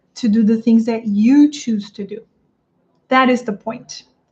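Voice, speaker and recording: The speech comes in a Portuguese accent at a fairly slow pace. Pitch varies in an ordinary way. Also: woman. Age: 30s. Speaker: English teacher coach. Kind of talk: livestream talk to viewers. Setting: live stream on YouTube and Instagram.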